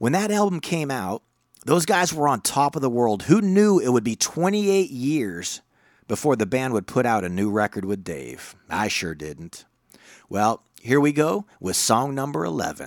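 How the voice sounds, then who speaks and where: On a very clean recording with a silent background, a man talks fairly slowly at a medium pitch that swings very widely. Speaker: radio host. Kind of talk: radio DJ patter introducing rock tracks. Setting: radio show. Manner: animated, cheeky, showman-like.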